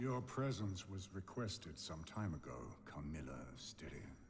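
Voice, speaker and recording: Putting on a cartoonish character voice with a very deep, low pitch, a man talks at a moderate pace over clear background noise. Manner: imperious, commanding.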